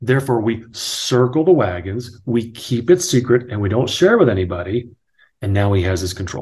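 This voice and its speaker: With an American accent, a man speaks at medium pitch with lively intonation. His voice is somewhat breathy. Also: moderate pace. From New Jersey. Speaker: author and real estate agent, former sports broadcaster. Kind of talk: casual interview conversation.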